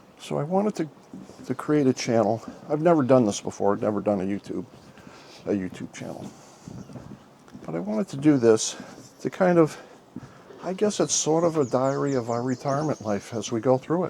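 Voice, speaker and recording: A man talks at a fairly quick pace with very wide pitch swings and long, frequent pauses. Noticeable background noise runs underneath. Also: medium pitch for a man. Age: 60s. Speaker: retired vlogger. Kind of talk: casual chat. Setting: outdoors.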